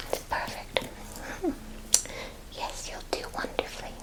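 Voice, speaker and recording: Whispering in a gentle tone at a fairly slow pace, a woman is heard over noticeable background noise. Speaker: ASMR roleplay performer playing a forest druid. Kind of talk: ASMR roleplay, educational history talk. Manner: whispered, gentle, soft-spoken.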